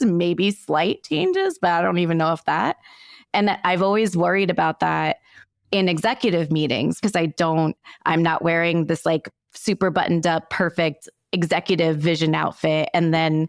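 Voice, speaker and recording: A woman's fairly low-pitched voice at a moderate pace, with fairly even intonation and very even loudness, dry and close with no echo, on a very clean recording against a silent background. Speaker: podcast host. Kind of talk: casual interview chat. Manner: casual.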